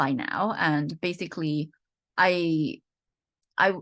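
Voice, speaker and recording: A woman with a slight British accent and a very deep, low pitch, ordinary pitch variation, over a quiet background. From UK. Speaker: economist and researcher. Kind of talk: interview. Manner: halting, many fillers.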